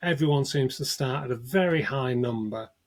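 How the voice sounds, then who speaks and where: A man with a northern English accent, medium in pitch, lively in intonation, at a moderate pace. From northern England. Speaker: cybersecurity expert, ransomware negotiator. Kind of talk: interview.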